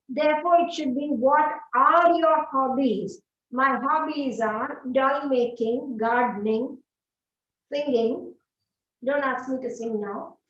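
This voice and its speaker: With a Telugu accent, a woman speaks at a very slow pace. Her pitch is high, with ordinary pitch variation. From South India, Andhra Pradesh. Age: 50s. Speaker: English teacher. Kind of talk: online class Q&A. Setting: studio.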